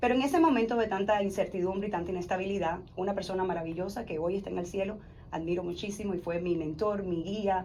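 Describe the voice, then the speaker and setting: Over audible room echo, a woman at medium pitch speaks at a very fast pace with ordinary pitch variation. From Cuba. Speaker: insurance advisor and former teacher. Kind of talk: interview testimony.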